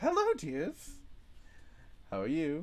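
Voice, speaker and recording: A man's put-on character voice at a high pitch. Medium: actual play. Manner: sweet, doting.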